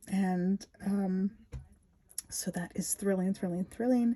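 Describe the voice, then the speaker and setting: A woman speaks softly and somewhat breathily at a medium pitch, her tone dark and mellow. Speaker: spiritual storyteller. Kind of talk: spiritual talk. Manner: soft-spoken; repetitive.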